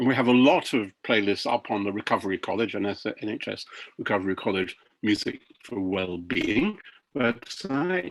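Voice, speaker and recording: A man speaks at a moderate pace with a fairly low pitch. His intonation is lively. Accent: British. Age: 70s. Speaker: professor presenting research. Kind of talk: webinar presentation. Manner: halting, many fillers.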